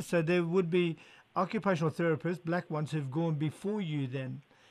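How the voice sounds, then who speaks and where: The recording is very clean with a silent background as a man speaks at a high pitch with ordinary pitch variation. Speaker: radio host. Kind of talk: radio interview. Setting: radio studio.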